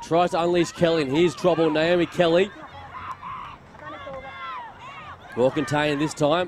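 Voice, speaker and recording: Crowd noise sits in the background as a man speaks at a moderate pace in a dry sound with no echo. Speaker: sports commentator. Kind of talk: commentary.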